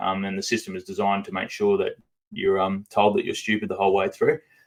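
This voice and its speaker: A man with a strong Australian accent. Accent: broad Australian. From central Queensland, Australia. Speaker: activist and former coal miner. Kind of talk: podcast interview. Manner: fast; halting, many fillers.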